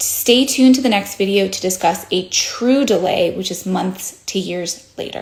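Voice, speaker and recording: Using an unremarkable speaking voice at medium pitch, a woman talks at a moderate pace with ordinary pitch variation and hardly any pauses. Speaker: plastic surgeon. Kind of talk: educational explainer.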